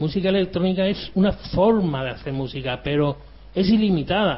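The speaker is a man with a high pitch. He keeps up a fairly quick pace. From Andalusia, Spain. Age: 50s. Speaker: electronic musician. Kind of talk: interview.

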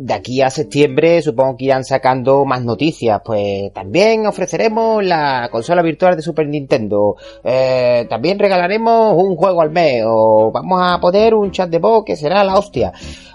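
At a moderate pace with hardly any pauses, a man's fairly high voice makes very wide pitch swings. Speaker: video game podcast host. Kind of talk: casual chat.

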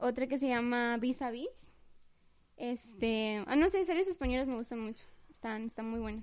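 A woman speaks at a moderate pace with a slight Mexico City accent. Her pitch is high, with ordinary variation. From Mexico City and Tapachula, Chiapas. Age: young. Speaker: guest, host's girlfriend. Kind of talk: casual chat.

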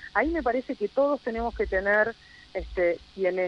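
Speaking at a fairly slow pace, a woman uses a normal speaking voice with a fairly high pitch and lively intonation. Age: 40s. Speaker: local politician. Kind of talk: radio interview.

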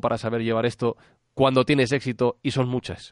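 With a normal speaking voice and medium pitch, a man talks at a fairly quick pace against a quiet background. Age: 30s. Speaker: podcaster. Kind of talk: interview. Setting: Skype call.

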